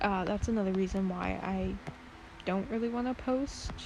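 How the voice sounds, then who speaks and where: Soft-spoken, a woman talks at a moderate pace amid noticeable background noise. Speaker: art content creator. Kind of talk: casual drawing vlog. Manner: hesitant, many fillers.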